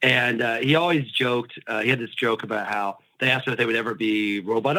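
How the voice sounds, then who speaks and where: A man with an American accent talks at a fairly quick pace. There is noticeable background noise. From US Midwest. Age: 40s. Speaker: sports writer. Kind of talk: podcast interview.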